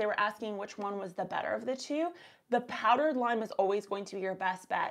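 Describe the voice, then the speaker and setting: A woman at a very fast pace against a quiet background. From Canada. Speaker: gardening YouTuber and soil scientist. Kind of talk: casual live stream Q&A. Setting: live stream. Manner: upward sentence endings. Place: home room. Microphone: lapel.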